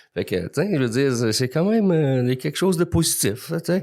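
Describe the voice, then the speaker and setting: On a very clean recording with a silent background, a man's voice is heard. He moves at a fairly quick pace, his pitch swinging very widely. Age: 60s. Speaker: recovering alcoholic guest. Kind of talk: testimony.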